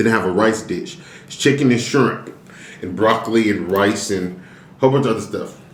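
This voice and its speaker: Big swings in loudness mark a man's fairly low voice, delivered at a fairly quick pace with ordinary pitch variation amid audible room echo and noticeable background noise. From Illinois, US Midwest. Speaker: mukbang YouTuber. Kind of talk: casual mukbang chat.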